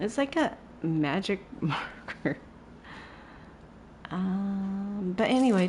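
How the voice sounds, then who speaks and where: A soft-spoken woman at a medium pitch, with very wide pitch swings. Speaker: gaming streamer. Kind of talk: live gameplay commentary. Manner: halting, filler-heavy; quiet, soft-spoken.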